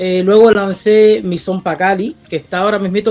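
Against noticeable background noise, a woman talks in a medium pitch. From Cuba. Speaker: singer and producer. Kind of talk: radio interview.

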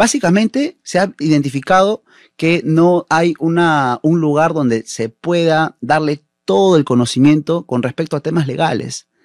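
A man's fairly high-pitched, a plain, everyday voice at a fairly slow pace, ordinary pitch variation, dry and close with no echo, on a very clean recording with a silent background. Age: 30s. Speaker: municipal election candidate. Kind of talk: political interview.

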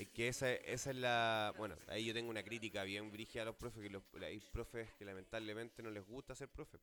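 Music in the background behind a man with a Chilean accent, medium in pitch, fairly quick with hardly any pauses, and fairly even in intonation. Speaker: podcast host. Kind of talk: casual chat.

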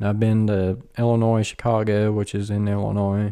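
A man talks at a fairly low pitch and a fairly slow pace, his tone dark and mellow. His intonation is monotone and flat, and the recording is very clean with a silent background. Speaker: podcast host. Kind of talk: casual banter, comedy chat. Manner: joking, profane.

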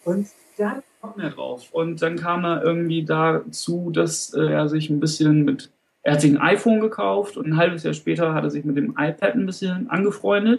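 A man's high voice carries lively intonation at a moderate pace. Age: 30s. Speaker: teacher trainee. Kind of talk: interview. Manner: halting.

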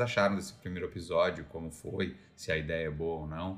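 A man is speaking here. His pace is fairly quick, with ordinary pitch variation. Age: 30s. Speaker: podcast co-host. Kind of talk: casual chat.

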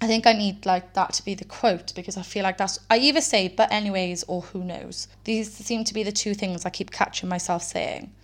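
Speaking fairly quickly with a Welsh accent, a woman uses a medium pitch and ordinary pitch variation. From Wales. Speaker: true crime podcast host. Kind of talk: casual solo podcast narration. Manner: rambling, conversational.

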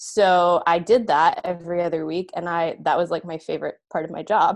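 This woman has an unremarkable speaking voice, fairly low in pitch, with fairly even intonation. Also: quiet background. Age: 30s. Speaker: middle school librarian. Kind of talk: interview.

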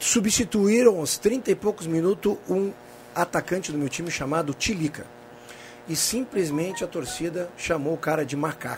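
With noticeable background noise behind him, a man talks at a moderate pace in a high pitch with lively intonation. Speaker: panelist. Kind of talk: casual chat.

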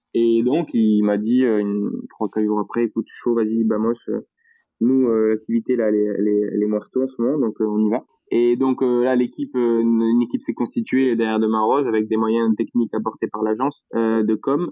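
Here a man talks at medium pitch and a fairly quick pace. His intonation is monotone and flat. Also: very even loudness. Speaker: entrepreneur behind a local video project. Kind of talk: casual chat interview.

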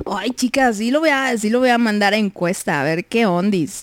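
Drawling with lively intonation, a woman speaks at a fairly high pitch. The sound is dry and close, with no echo. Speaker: radio host. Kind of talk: casual chat. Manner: drawls words.

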